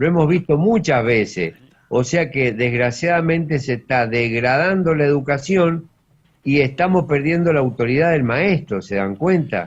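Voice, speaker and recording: At a fairly slow pace, a man speaks with a fairly high, somewhat breathy pitch, lively intonation and very even loudness. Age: 70s. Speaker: radio panelist, doctor. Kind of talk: radio panel discussion.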